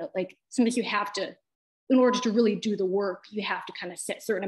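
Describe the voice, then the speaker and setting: Over a quiet background, a woman with an unremarkable speaking voice talks at a medium pitch and fairly quick pace, her intonation fairly even. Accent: American. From US Midwest. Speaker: poet. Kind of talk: interview. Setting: video call. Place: home room. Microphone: video call.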